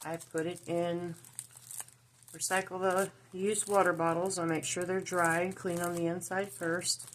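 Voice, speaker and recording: A woman with a Southern US accent speaks in a fairly low pitch, with a monotone, flat intonation. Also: moderate pace. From US South (Georgia and Tennessee). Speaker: crafting YouTuber. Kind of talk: tutorial. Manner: casual, halting.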